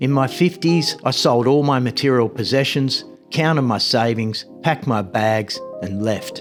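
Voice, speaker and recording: A man with an Australian accent talks at a fairly slow pace, his pitch medium and his intonation lively. Music plays in the background. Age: 50s. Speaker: travel vlogger. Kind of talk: personal story narration.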